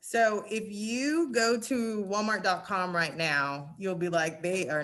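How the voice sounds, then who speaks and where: On a very clean recording with a silent background, a woman with a Southern US accent and a bright, sharp tone speaks with lively intonation. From Arkansas. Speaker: retail merchandising director. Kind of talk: presentation and Q&A. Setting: virtual summit.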